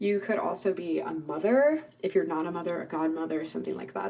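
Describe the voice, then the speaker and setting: A soft-spoken woman against noticeable background noise. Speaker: tarot reader. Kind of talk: pick-a-card tarot reading. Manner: soft-spoken, calm.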